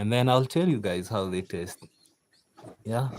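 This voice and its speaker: In a Kenyan accent, a man speaks at a fairly low pitch with a relaxed tone and ordinary pitch variation. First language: Kikuyu. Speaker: farmer. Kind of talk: casual live-stream chat. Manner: relaxed, chatty with fillers.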